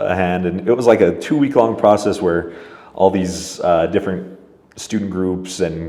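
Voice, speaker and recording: This man's voice is very deep and low. He speaks at a moderate pace. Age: 20s. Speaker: field director and lobbyist. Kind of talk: interview answer. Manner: casual, hesitant.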